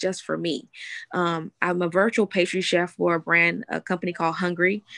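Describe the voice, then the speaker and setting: A woman with an American accent speaks in a plain, everyday voice, fairly low-pitched with fairly even intonation, on a very clean, dry, close recording with a silent background and no echo. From Washington, D.C. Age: 30s. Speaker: pastry chef. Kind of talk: interview.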